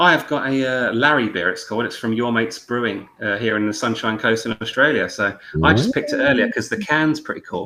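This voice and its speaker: A man with a British accent at a medium pitch, very fast, with hardly any pauses and ordinary pitch variation. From UK. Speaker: podcast host. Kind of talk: casual chat. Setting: live video call.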